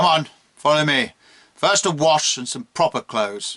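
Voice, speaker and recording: A man's gruff, put-on character voice at a fairly high pitch and moderate pace, with very wide pitch swings and big swings in loudness, in a dry, close sound with no echo. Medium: read story. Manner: brusque, commanding.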